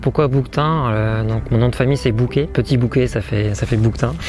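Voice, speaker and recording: There is noticeable background noise behind a man of medium pitch. He talks at a fairly quick pace with ordinary pitch variation. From northern France, Cambrai. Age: 20s. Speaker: long-distance hiker. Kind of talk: interview testimony. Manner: hesitant, many filler sounds.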